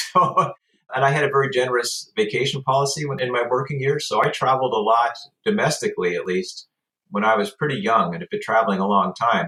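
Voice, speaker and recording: Very fast and with very wide pitch swings, a man speaks in an American accent with a bright, sharp tone. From US Pacific Northwest, Portland, Oregon. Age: 60s. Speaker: travel interview guest. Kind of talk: casual interview chat. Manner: halting, with frequent fillers.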